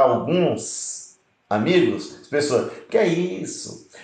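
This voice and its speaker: A man is speaking. Some room echo can be heard. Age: 60s. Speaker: pastor. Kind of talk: preaching live stream.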